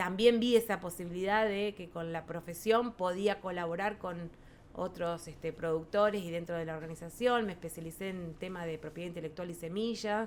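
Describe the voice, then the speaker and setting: In a Rioplatense accent, a woman with a fairly low pitch talks at a moderate pace, her loudness swinging widely. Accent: Argentine Rioplatense Spanish. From rural Buenos Aires province, Argentina. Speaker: farmers' federation president, agrarian lawyer. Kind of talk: podcast interview answer.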